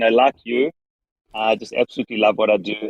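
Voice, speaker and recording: In a South African accent, a man talks at a fairly quick pace. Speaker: rabbi and organization leader. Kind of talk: interview. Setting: in a car.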